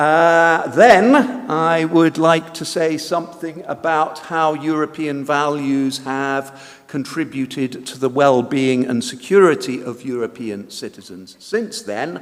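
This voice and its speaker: A man with a British accent talks very slowly, at a fairly high pitch with ordinary variation and hardly any pauses. His loudness swings widely, and there is noticeable background noise. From Britain. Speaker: conference speaker. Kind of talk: lecture. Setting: conference hall. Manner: hesitant, many fillers.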